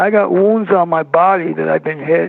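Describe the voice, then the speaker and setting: High-pitched and speaking with a New York accent, this is a man's voice. His pitch swings very widely. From New York City (Brooklyn). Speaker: filmmaker, paranormal guest. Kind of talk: interview.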